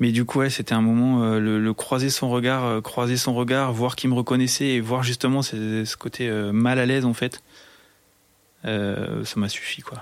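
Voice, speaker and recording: This man's pitch sits in the middle range, and his pace is moderate. He speaks with a flat, monotone intonation. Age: 30s. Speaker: technical supervisor. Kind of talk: casual interview. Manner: halting, many fillers and repetitions.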